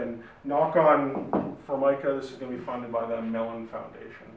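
Audible room echo surrounds the voice. A man speaks at a fairly high pitch. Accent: Canadian. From Saskatchewan, Canada. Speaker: academic, digital humanities researcher; presenter. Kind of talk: lecture. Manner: hesitant, many fillers and repeats. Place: meeting room. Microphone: camera far.

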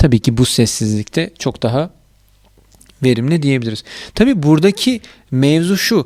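Long, frequent pauses break up the speech of a man with a fairly high pitch and lively intonation. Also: moderate pace, very clean recording, silent background. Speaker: YouTuber reviewing audio gear. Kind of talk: product review tutorial.

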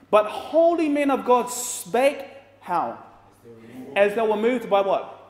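In a room with audible echo, a man speaks at an extremely high pitch and a fairly slow pace, his tone animated and his intonation lively. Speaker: preacher. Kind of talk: sermon with congregation call-and-response, Bible study. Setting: church with live audience. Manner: animated, rhetorical questions, prompts audience to say amen. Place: hall.

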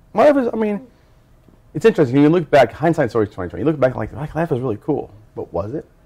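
A man at a very fast pace, with very wide pitch swings, vocal fry and a dark, mellow tone, over a quiet background. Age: 40s. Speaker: formerly incarcerated university student; interviewee. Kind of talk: personal testimony interview. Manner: halting, with frequent fillers. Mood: reflective, personal.

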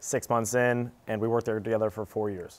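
A man talks at a fairly quick pace in a fairly low pitch. His intonation stays monotone and flat. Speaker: appraiser and startup founder. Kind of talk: panel discussion. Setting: studio. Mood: calm, confident. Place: studio. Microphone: lapel.

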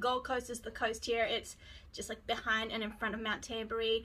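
A woman's raised, projected voice carries a bright, sharp tone. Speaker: beauty vlogger. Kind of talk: casual vlog chat. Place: home room. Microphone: phone near.

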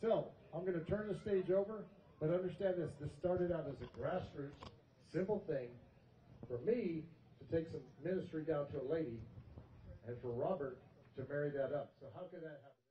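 Speaking at a fairly quick pace with ordinary pitch variation, a man leaves long, frequent pauses. There is audible room echo and light background noise. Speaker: army officer and ministry leader. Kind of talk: rally speech. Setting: stage with audience. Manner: earnest, emotional. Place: open country.

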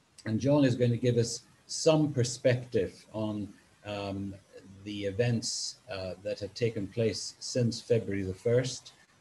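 A man speaks at a fairly slow pace in a dark, mellow tone, somewhat breathy. His intonation stays fairly even over light background noise. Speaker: webinar moderator. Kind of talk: event moderation introduction. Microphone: video call.

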